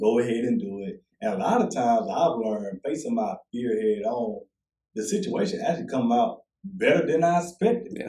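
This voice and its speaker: A man's medium-pitched, somewhat breathy voice swings very widely in pitch at a moderate pace. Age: 20s. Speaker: motivational speaker and author. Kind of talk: podcast interview. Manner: repetitive, informal.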